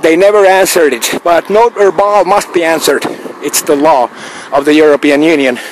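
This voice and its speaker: Noticeable background noise sits behind a man talking at a fairly quick pace. His pitch is fairly high, with ordinary pitch variation. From Finland. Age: 50s. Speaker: video blogger. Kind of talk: video monologue. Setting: outdoors. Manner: halting.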